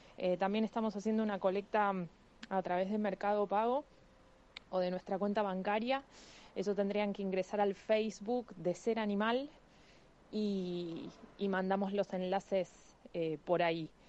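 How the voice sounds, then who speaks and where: Pausing long and often, a woman speaks fairly slowly at medium pitch with fairly even intonation. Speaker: animal rescue volunteer. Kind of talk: interview.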